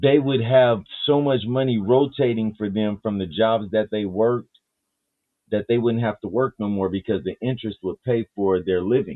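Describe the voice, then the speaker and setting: With an ordinary speaking voice, a man talks at a moderate pace. His pitch is medium, with ordinary pitch variation. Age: 50s. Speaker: live panel show host. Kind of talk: casual chat.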